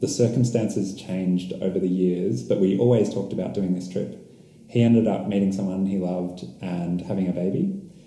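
A man with an Australian accent speaks at a moderate pace in a very deep, low voice with ordinary pitch variation. Audible room echo and noticeable background noise fill the recording. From Australia, Melbourne. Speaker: long-distance cyclist. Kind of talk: casual interview. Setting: in person, San Cristobal.

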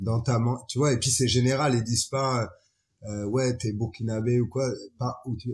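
A somewhat breathy man with a slight West African accent, at a moderate pace, on a very clean recording with a silent background. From France, Chalon-sur-Saône. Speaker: photographer and filmmaker. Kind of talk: casual interview.

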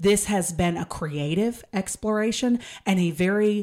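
A plain, everyday voice from a woman with an American accent, medium pitch, ordinary pitch variation and a fairly slow pace. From East Texas. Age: 30s. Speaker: model. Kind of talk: casual chat.

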